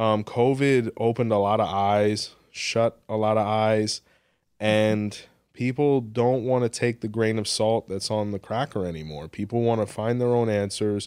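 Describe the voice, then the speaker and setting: A normal speaking voice moves at a fairly slow pace with fairly even intonation. The recording is very clean with a silent background. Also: man, fairly low pitch for a man. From Miami, Florida (Hialeah). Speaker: spiritual practitioner and podcaster. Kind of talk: interview.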